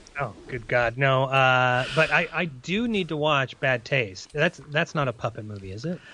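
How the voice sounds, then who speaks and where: With a quiet background, a man talks at a moderate pace and medium pitch, hardly pausing. His tone is bright and sharp, and his intonation is lively. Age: 30s. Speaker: podcast host. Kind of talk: casual chat.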